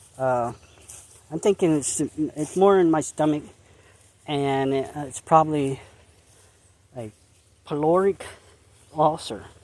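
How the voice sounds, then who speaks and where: Long, frequent pauses break up a fairly slow delivery in a central Pennsylvania accent. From central Pennsylvania, Perry County. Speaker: dog walking vlogger. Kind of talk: casual walking vlog. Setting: outdoors on hiking trail. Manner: halting, repetitive.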